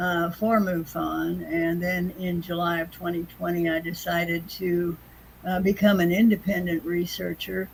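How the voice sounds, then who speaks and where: A woman speaks in a monotone with flat intonation. Her pitch is fairly low, and her voice is somewhat breathy. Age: 80s+. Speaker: UFO investigator. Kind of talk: interview answer.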